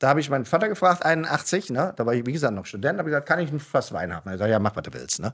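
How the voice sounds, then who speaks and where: On a very clean recording with a silent background, a man with a medium pitch and vocal fry speaks very fast with very wide pitch swings. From Germany, Mosel region. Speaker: winemaker. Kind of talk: casual chat. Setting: studio. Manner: animated.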